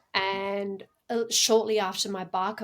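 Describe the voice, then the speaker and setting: Recorded very cleanly against a silent background, a woman with an Australian accent speaks fairly slowly at a medium pitch in a monotone, flat intonation. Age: 40s. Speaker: incense crafter and reiki practitioner. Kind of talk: podcast interview. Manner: hesitant, many fillers and repeats.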